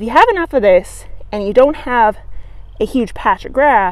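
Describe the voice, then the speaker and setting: A woman talks at a moderate pace. The sound is dry with no echo. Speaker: gardening educator. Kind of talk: tutorial. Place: garden. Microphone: phone near.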